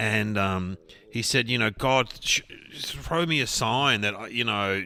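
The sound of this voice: The voice here is unforced. It is a reading voice.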